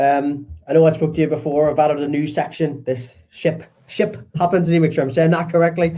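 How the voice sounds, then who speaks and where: A man with a strong Belfast accent, a fairly high voice and a dark, mellow, somewhat breathy tone, talking at a fairly quick pace. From Northern Ireland, Belfast. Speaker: podcast host. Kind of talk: podcast interview.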